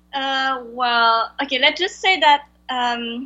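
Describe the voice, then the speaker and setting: A woman's high-pitched voice with a strong French accent. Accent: heavy French-accented English. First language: Vietnamese. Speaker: translator. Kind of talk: interview. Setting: video call. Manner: halting.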